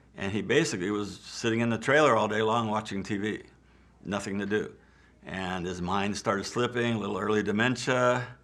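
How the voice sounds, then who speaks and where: A man speaks at a fairly quick pace with fairly even intonation. Room echo is audible. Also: fairly low pitch for a man. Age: 70s. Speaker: retired film extra and actor. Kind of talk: interview monologue. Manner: casual, hesitant with fillers.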